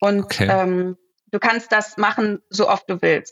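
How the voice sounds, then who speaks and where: Here a woman is speaking. Her pace is fairly slow. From Ruhr area, Germany (Herne). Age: 30s. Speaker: startup founder. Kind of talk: podcast interview.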